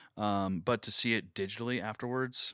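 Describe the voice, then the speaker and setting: An ordinary speaking voice with an American accent shows ordinary pitch variation. The recording is very clean with a silent background, and the sound is dry and close with no echo. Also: man. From Oklahoma. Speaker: media producer and musician. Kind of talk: casual interview.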